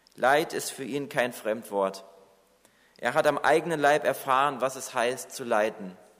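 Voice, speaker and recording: With a normal speaking voice, a man talks at a fairly slow pace and medium pitch, showing ordinary pitch variation and big swings in loudness. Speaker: preacher. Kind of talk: sermon. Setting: church. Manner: earnest, warm and reassuring, pastoral tone; measured, exhorting the congregation directly.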